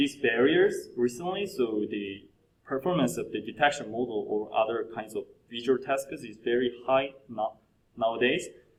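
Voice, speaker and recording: Lively intonation marks this man's speech in a Korean accent. His pitch is medium and his pace moderate. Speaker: PhD candidate presenting a research paper. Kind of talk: conference presentation. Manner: halting, with fillers and self-corrections.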